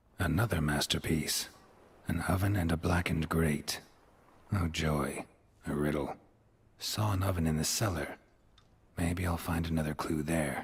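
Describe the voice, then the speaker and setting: A man's put-on character voice, very deep and low, at a moderate pace with long, frequent pauses. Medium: video game. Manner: dry, deadpan.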